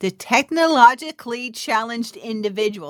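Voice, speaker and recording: Lively intonation and an animated tone mark this woman's speech. She keeps a moderate pace, and the sound is dry and close with no echo. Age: 60s. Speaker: podcast host and spiritual entrepreneur. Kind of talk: solo podcast monologue, inspirational talk. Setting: home recording, evening, with a cup of tea. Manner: animated, laughing often.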